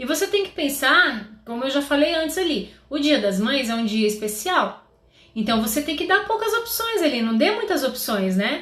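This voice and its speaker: Amid noticeable background noise and audible room echo, a woman speaks with a high pitch and very wide pitch swings. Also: moderate pace. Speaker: confectionery business coach. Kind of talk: live stream tutorial. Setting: live stream.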